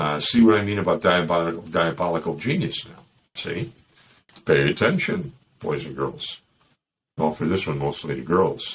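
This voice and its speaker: With a Chicago accent, a man speaks at a moderate pace in a very deep, low voice with ordinary pitch variation. His loudness swings widely, and he leaves long, frequent pauses. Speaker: dating advice podcast host. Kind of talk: casual monologue. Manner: animated.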